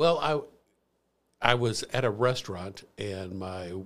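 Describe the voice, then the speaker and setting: A man with a Midwestern American accent speaks at a fairly low pitch. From US Midwest, St. Louis area. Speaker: former finance professional, ex-prisoner. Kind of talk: personal testimony interview.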